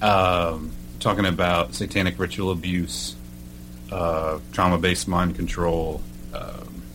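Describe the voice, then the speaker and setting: A man's very deep, low voice with an American accent, over noticeable background noise. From Oklahoma. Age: 30s. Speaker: podcast host, military veteran. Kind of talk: casual interview. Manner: halting, many fillers.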